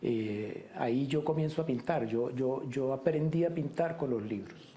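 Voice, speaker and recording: Speaking at a fairly slow pace, a man uses a medium pitch with ordinary variation. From Colombia, Bogotá. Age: 50s. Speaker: painter. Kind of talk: interview. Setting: painter's studio. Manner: halting, many fillers.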